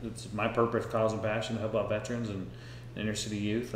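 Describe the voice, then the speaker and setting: A man speaks in a fairly low voice with vocal fry. Audible room echo and light background noise surround him. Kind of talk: interview question and commentary. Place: home room.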